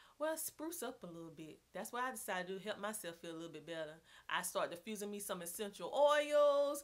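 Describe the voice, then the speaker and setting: Speaking fairly quickly with a strong Southern US accent, a woman keeps a medium pitch and an animated tone. Her pitch swings very widely and her loudness swings a lot. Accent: heavy Southern US. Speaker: homeschooling mom vlogger. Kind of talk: casual vlog talk. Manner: animated, chatty.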